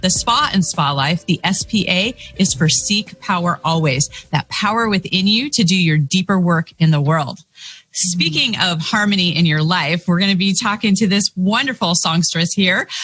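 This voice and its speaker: A woman's voice with very even loudness and ordinary pitch variation, with music in the background. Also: medium pitch for a woman, moderate pace. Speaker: podcast host. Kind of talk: show host introduction.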